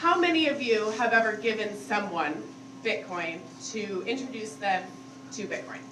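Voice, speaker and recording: Loud and fairly high-pitched, a woman's voice makes very wide pitch swings amid noticeable background noise and audible room echo. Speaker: conference speaker. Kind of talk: conference talk. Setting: stage with audience. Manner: casual, filler-heavy.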